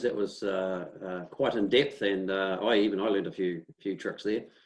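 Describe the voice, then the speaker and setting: A man's fairly low voice with a New Zealand accent. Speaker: local councillor and webinar host. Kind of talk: webinar hosting. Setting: video call.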